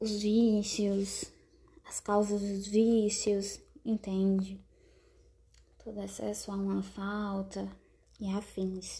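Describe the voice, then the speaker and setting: The voice has a dark, mellow tone, somewhat breathy, with monotone, flat intonation. It moves at a very slow pace, broken by long, frequent pauses. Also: woman, medium pitch for a woman. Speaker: podcast host, writer. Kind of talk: casual solo monologue. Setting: at home, not a studio.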